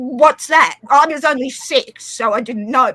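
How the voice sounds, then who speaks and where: Using a raised, projected voice, a woman speaks at a high pitch and a moderate pace with ordinary pitch variation. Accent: Australian. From Australia. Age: 40s. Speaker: live stream participant. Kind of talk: casual chat.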